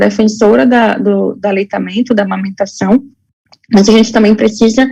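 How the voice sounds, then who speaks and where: The woman's voice is somewhat breathy and fairly high in pitch. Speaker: health educator. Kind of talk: lecture. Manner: halting, many fillers.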